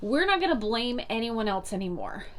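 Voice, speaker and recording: A woman with an American accent, fairly high in pitch, with lively intonation at a moderate pace and audible room echo. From US South, North Carolina. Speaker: motivational vlogger. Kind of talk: motivational talk to camera. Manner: animated.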